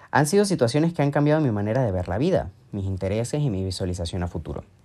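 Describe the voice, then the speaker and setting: A man with a dark, mellow tone and medium pitch speaks with lively intonation on a very clean recording with a silent background. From Venezuela, Mérida. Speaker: podcast host, language teacher and digital strategist. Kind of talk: solo monologue podcast. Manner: casual, conversational.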